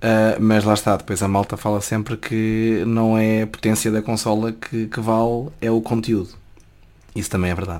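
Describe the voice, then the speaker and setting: The man's pitch is fairly low and his pace moderate. His intonation stays monotone and flat. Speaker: journalism student. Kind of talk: casual chat.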